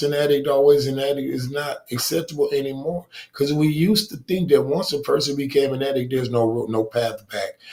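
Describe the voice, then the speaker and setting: A somewhat breathy man talks at a fairly quick pace with hardly any pauses, his fairly high pitch showing ordinary variation. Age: 60s. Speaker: recovering addict. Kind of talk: testimony.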